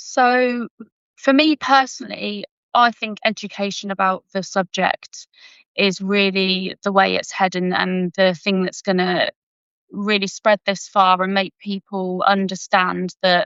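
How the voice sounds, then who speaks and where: Fairly slow speech from a woman of medium pitch with a British accent. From UK. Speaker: forensic science graduate and conservation volunteer. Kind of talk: interview answers. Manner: halting, repeats words.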